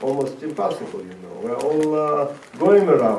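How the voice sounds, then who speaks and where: With audible room echo and noticeable background noise, a man speaks in a fairly high pitch with ordinary pitch variation. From Latvia (Riga). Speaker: rabbi and former Soviet prisoner. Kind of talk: talk to an audience. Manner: halting.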